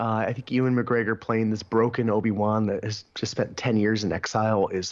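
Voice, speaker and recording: Over noticeable background noise, a man talks at a fairly quick pace in a medium-pitched voice. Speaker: podcast co-host. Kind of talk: casual chat.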